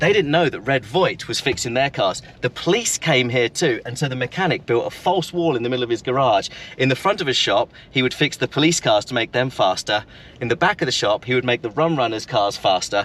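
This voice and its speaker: Over noticeable background noise, a man talks at a fairly quick pace with lively intonation and a medium pitch. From England, Brighton. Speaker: local history storyteller. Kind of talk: casual chat while driving.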